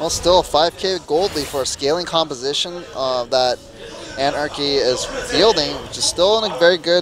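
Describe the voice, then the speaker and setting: A man with a high pitch at a moderate pace, music playing in the background. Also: ordinary pitch variation. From Korea. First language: Korean. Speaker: esports commentator. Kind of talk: live commentary.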